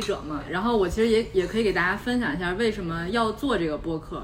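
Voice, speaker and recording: With audible room echo and noticeable background noise, a woman talks at a fairly quick pace in a fairly high pitch with ordinary pitch variation. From Beijing. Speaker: podcast host. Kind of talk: casual chat.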